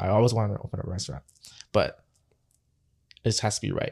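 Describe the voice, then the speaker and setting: A man with a Toronto accent, medium pitch and a very fast pace, on a very clean recording with a silent background. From Canada, Toronto (Scarborough). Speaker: chef. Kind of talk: casual interview.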